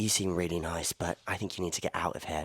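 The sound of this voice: A man puts on a character voice, very deep, low and raspy, with a British accent. He talks at a very fast pace.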